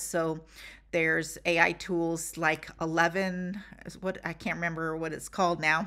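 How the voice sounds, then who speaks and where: A woman with a bright, sharp tone, fairly low pitch, moderate pace and a quiet background. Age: 60s. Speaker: business coach and YouTuber; business coach, YouTuber. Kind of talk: tutorial. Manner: conversational. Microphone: webcam.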